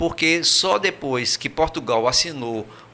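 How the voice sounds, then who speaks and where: A man's medium-pitched voice moves fairly slowly, its pitch varying in an ordinary way. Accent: Brazilian. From Brazil. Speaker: emigrant recounting experience. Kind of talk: interview. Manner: hesitant, many fillers and repetitions.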